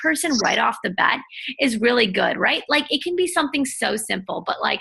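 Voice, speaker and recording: A woman speaks in a raised, projected voice at a high pitch, with lively intonation and a fairly quick pace. Noticeable background noise is audible. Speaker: entrepreneur and self-help blogger. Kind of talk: interview. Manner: loud.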